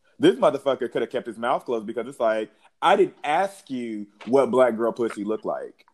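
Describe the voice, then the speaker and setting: This man has an ordinary speaking voice at a medium pitch. He talks at a fairly quick pace with lively intonation. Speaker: podcast host. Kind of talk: casual chat. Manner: casual, joking.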